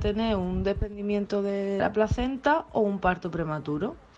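This is a woman with an ordinary speaking voice. Her pitch is medium. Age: 30s. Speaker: listener sending voice message. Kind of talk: personal testimony.

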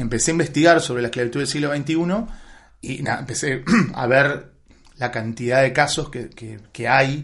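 A man speaks at a moderate pace with fairly even intonation and big swings in loudness. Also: medium pitch for a man. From Buenos Aires, Argentina. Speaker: film director and writer. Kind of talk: interview. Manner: halting, many repetitions.

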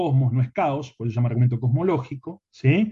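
The man has a medium pitch and ordinary pitch variation. His tone is dark and mellow, and somewhat breathy. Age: 40s. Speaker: philosophy teacher. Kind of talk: interview.

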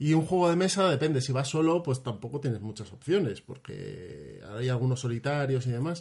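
Over a quiet background, a man talks at a moderate pace with hardly any pauses, his medium-pitched voice somewhat breathy and his intonation lively. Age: 30s. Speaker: gamer and podcast patron. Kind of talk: casual chat.

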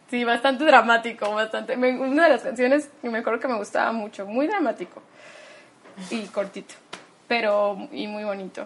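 A woman speaks at a moderate pace with a fairly high pitch and ordinary pitch variation, over noticeable background noise. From Mexico, Tabasco. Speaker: opera singer. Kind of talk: interview.

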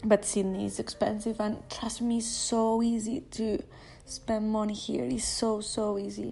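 A woman with a non-native accent talks rather slowly. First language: not English. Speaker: podcaster. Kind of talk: personal monologue. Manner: halting.

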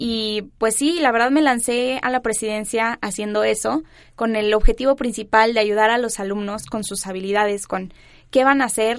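A woman's ordinary speaking voice, with fairly even intonation at a moderate pace against a quiet background. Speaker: university student council president. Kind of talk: casual chat. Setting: studio.

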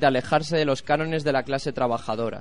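With a normal speaking voice, a man talks at a moderate pace and fairly high pitch, with ordinary pitch variation. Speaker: radio course student reporter. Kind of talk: cultural commentary; street interview report.

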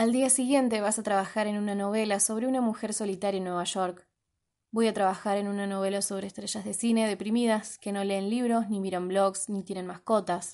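Against a quiet background, a woman talks at a fairly quick pace in a dark, mellow tone with monotone, flat intonation. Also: medium pitch for a woman. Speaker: podcast host. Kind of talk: reading aloud.

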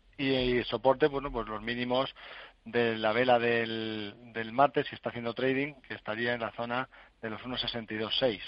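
A man speaks in an ordinary speaking voice at a medium pitch. His intonation is fairly even. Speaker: stock market analyst. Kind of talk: radio phone-in market analysis.

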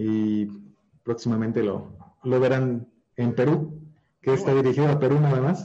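Speaking at a moderate pace, a man has a medium pitch and a dark, mellow tone with ordinary pitch variation. His loudness stays very even, and he pauses long and often. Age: 30s. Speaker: digital marketer. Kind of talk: interview. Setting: live stream.

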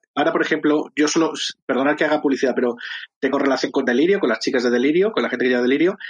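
In an unremarkable speaking voice, a man talks at a fairly high pitch with ordinary pitch variation. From Madrid, Spain. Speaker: drag performer and musician. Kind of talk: casual chat.

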